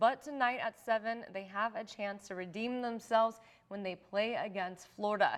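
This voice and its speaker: This woman has an unremarkable speaking voice with a fairly high pitch. She talks at a moderate pace. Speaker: TV news anchor. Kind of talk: TV news anchor read. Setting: studio.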